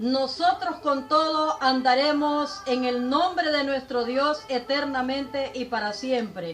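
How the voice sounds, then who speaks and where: A woman's high-pitched voice with lively intonation at a very slow pace. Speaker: preacher. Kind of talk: religious sermon denouncing a preacher.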